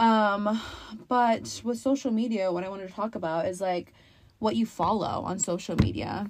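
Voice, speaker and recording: The speaker is a woman with a plain, everyday voice. Her pitch varies in an ordinary way. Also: medium pitch for a woman, moderate pace. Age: 20s. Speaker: podcast co-host, daughter. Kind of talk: casual chat.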